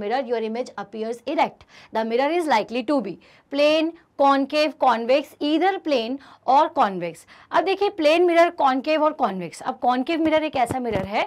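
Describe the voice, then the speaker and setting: Speaking at a fairly slow pace, a woman has a high pitch and lively intonation. The recording is very clean and the background silent. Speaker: online physics teacher. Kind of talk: lecture. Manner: animated.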